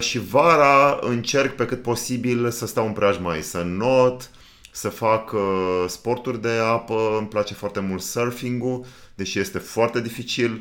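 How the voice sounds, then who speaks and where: With an ordinary speaking voice, a man of medium pitch talks at a fairly slow pace and ordinary pitch variation. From Romania, Danube region. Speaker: podcast co-host and producer. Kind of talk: casual chat.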